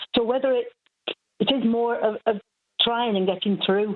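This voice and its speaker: A woman speaks with a Mancunian accent. Her pitch sits fairly high. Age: 70s. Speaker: caller. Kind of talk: phone-in call.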